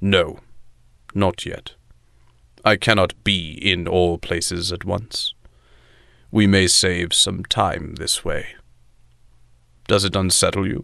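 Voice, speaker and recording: Against a quiet background, a man with a very deep, low pitch speaks at a fairly slow pace in a monotone, flat intonation, with long, frequent pauses. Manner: dry, self-aware sarcasm, weary authority; harsh but resigned.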